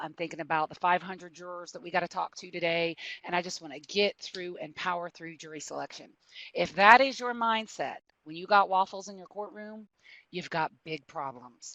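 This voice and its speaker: A woman with a Southern US accent speaks at a moderate pace and a fairly low pitch, with big swings in loudness. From US South. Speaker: prosecutor. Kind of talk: webinar presentation.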